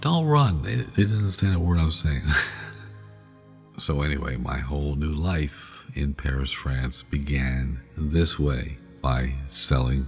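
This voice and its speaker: A relaxed male voice, very deep and low in pitch, over background music. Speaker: sleep storytelling podcast host. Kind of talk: ASMR sleep storytelling, casual personal anecdote. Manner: relaxed, conversational, humorous storytelling.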